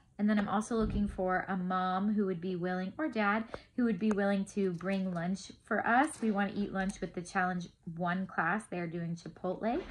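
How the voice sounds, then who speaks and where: Her voice sits at a medium pitch and is somewhat breathy. The woman's intonation stays fairly even. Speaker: homeschool class tutor. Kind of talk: casual update video to parents. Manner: fast.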